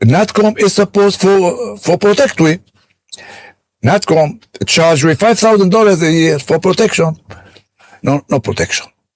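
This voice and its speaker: A man with a French accent speaks at a moderate pace in a high pitch, his intonation lively and loudness very even, with long, frequent pauses. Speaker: businessman. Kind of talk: interview. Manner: animated.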